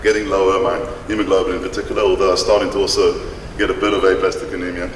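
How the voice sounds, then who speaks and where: Someone speaks at a very fast pace in a room with audible echo and noticeable background noise. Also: man. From South Africa. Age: 50s. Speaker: patient speaker. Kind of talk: conference talk. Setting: stage with audience, no microphone. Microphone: no microphone.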